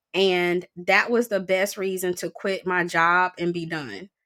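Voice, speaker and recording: A woman with an American accent speaks fairly slowly at a medium pitch, in an ordinary speaking voice. The recording is very clean, with a silent background. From US South. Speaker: school board candidate. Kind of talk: interview.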